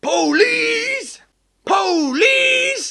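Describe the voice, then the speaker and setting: A put-on character voice at an extremely high pitch. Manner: shouted calling.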